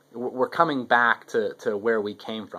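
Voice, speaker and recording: A man speaks at medium pitch in a bright, sharp tone. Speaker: video blogger. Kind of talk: casual monologue. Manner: fast; halting, many repetitions.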